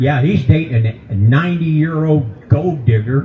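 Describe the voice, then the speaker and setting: A man with a Kentucky accent speaks at a fairly slow pace and medium pitch, his intonation lively. Audible room echo and noticeable background noise surround him. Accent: Southern US (Kentucky). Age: 70s. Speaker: comedian. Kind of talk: stand-up. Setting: stage with audience at a brewery.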